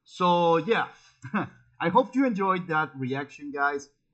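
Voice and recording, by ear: A man talks at a slow pace with lively intonation. His voice has a fairly high pitch and a fairly bright tone.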